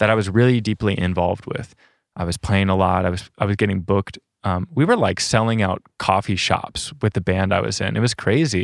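In an unremarkable speaking voice, a man talks fairly quickly at a fairly low pitch with ordinary pitch variation, the sound dry and close with no echo on a very clean recording with a silent background. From South Dakota, US Midwest. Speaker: van dweller and rock climber. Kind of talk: casual interview conversation.

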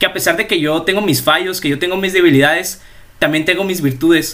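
A man speaks here. His tone is bright and sharp. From Mexico, La Paz, Baja California Sur. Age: young. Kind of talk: casual religious chat.

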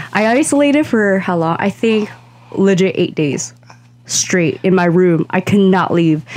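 A plain, everyday voice from a woman at medium pitch, fairly slow, with very even loudness and lively intonation. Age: 20s. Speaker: podcast co-host. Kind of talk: casual chat.

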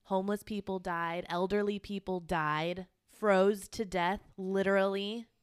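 A woman at a medium pitch and fairly slow pace, monotone and flat in intonation, on a very clean recording with a silent background. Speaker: podcast co-host. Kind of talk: casual chat. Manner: quiet.

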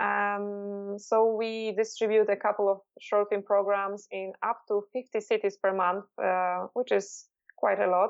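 With music in the background, a woman speaks fairly slowly at medium pitch in a monotone, flat intonation. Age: 30s. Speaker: film festival director. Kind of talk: interview. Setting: Skype call.

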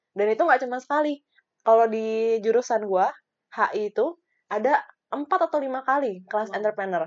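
A woman talks at a fairly quick pace in a fairly high voice with lively intonation. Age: 20s. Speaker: podcast co-host. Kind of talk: casual chat. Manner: animated.

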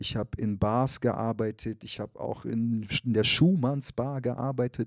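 On a very clean recording with a silent background, a man speaks at medium pitch with fairly even intonation, the sound dry and close with no echo. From Frankfurt am Main, Germany, then Munich. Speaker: activist and rapper. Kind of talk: casual interview. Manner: hesitant, many fillers.

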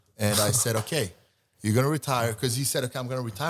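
The speaker is a man. His voice has a somewhat breathy quality. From Sweden. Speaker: nightlife entrepreneur. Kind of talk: casual chat. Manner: halting.

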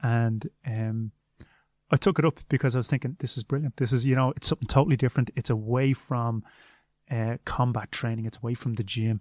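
In a Dublin accent, a man talks at a fairly quick pace with medium pitch and fairly even intonation, the sound dry and close with no echo. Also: very clean recording, silent background. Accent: Irish (Dublin). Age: 30s. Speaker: martial arts coach and former kickboxing champion. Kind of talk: interview.

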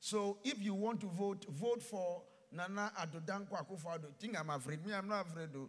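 A man with a high voice speaks in an animated tone with ordinary pitch variation. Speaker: pastor. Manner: animated, emphatic, rhythmic repetition, rising fervor.

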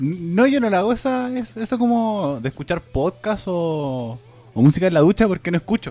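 This man has a high-pitched yet dark, mellow voice with a Chilean accent. He speaks at a moderate pace with very wide pitch swings. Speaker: podcast host. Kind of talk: casual chat.

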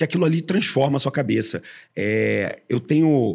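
A man's voice with vocal fry and ordinary pitch variation, on a very clean recording with a silent background. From Brazil, Rio de Janeiro. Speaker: podcast host, venture investor. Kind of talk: casual interview.

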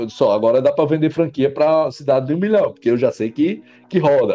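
A man talks with a dark, mellow tone and a fairly high pitch. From northeastern Brazil, Mossoró, Rio Grande do Norte. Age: 30s. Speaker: entrepreneur. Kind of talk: interview conversation. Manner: halting, with frequent word repetitions.

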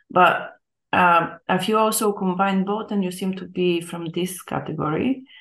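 Her voice is an unremarkable speaking voice at a medium pitch. The woman speaks at a fairly slow pace with fairly even intonation. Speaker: academic interviewer. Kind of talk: interview.

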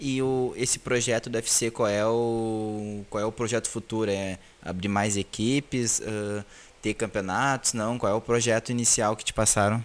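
The voice moves at a fairly slow pace with a monotone, flat intonation. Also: man, medium pitch for a man. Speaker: podcast host. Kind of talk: interview. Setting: video call. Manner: halting.

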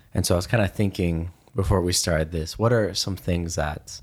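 This man's voice is very deep and low, somewhat breathy, with ordinary pitch variation. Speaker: podcast co-host. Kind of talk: casual conversation, podcast discussion. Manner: hesitant, many filler words.

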